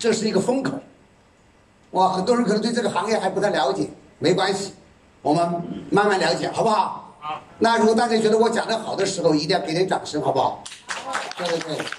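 A high male voice at a fairly quick pace, ordinary pitch variation, long, frequent pauses and audible room echo. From China, Yichang (Hubei). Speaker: sales presenter at product launch. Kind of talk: sales pitch. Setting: stage with audience. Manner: animated.

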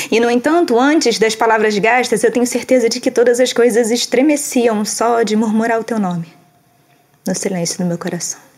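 A woman with a fairly high pitch speaks at a moderate pace with ordinary pitch variation in an unremarkable speaking voice. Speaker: poetry reader. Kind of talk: poem reading, spoken word. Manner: soft, melancholic, measured.

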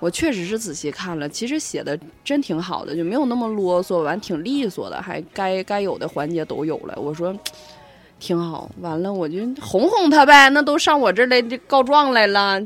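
A loud woman at a medium pitch makes very wide pitch swings, talking at a moderate pace over noticeable background noise. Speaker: podcast co-host. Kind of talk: casual chat.

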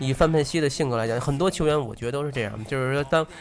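Noticeable background noise fills the clip. This man talks at a very fast pace. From Tianjin, China. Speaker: football fan. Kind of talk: casual chat.

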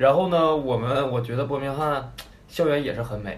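A man with a Northeastern Chinese accent speaks with ordinary pitch variation, amid audible room echo and noticeable background noise. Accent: Northeastern Mandarin. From Northeast China. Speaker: former overseas student in the UK. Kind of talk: casual chat.

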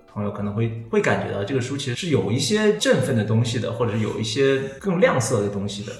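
Over music in the background and audible room echo, a man of medium pitch talks at a very fast pace. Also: ordinary pitch variation. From China, Hunan. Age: 30s. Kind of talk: interview conversation.

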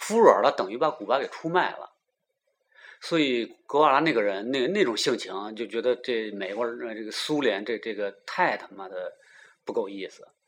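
A man speaks at a moderate pace with big swings in loudness. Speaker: podcast host. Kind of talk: casual chat.

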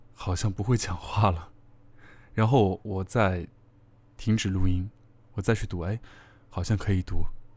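This man's fairly low voice has a dark, mellow tone, somewhat breathy, at a moderate pace. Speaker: online radio host. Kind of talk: casual monologue to listeners. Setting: solo at a microphone.

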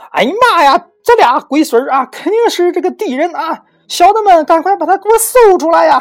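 Pitched extremely high, this put-on character voice moves at a moderate pace. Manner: shouting, alarmed.

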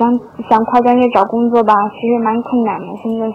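A woman speaks with monotone, flat intonation. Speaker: listener sending a voice message. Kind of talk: personal reflection in a voice message. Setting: recorded voice message. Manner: halting.

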